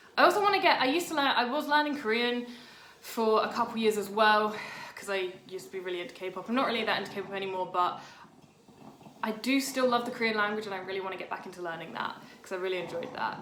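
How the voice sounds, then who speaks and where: A woman with a fairly high voice speaks very fast and with lively intonation, her loudness swinging widely, over noticeable background noise and audible room echo. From Britain. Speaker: writer and video blogger. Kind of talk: casual vlog monologue.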